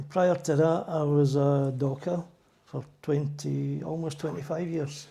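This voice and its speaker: In a Glaswegian accent, the speaker talks at a fairly slow pace with flat, monotone intonation. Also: man, fairly high pitch for a man. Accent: Glaswegian Scottish. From Scotland, Glasgow (Drumchapel). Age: 70s. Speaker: church elder, retired docker. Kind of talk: interview.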